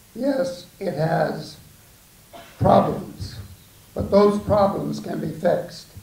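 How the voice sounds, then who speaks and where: A man speaks at a very slow pace with long, frequent pauses, with audible room echo and noticeable background noise. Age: 80s+. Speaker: war veteran, audience member at town hall. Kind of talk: public comment at town hall. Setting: town hall meeting, room with audience.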